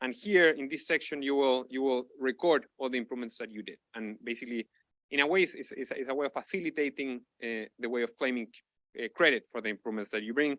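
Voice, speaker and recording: Very fast, medium-pitched male voice with ordinary pitch variation in a dry, close sound with no echo. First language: not English. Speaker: researcher presenting a tool. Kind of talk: conference lightning talk. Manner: halting, many repetitions and fillers.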